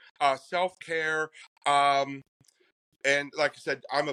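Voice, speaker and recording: A man with an American accent speaks at a fairly slow pace and a fairly high pitch. His tone is bright and sharp, in a dry, close sound with no echo. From Pennsylvania. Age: 60s. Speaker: psychic medium. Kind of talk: interview.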